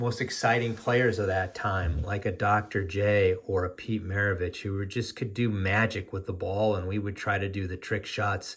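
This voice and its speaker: A man's fairly low, somewhat breathy voice with an American accent, fairly even intonation and a moderate pace. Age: 60s. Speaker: sports card collector, YouTuber. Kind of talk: casual video monologue. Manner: hesitant, many fillers.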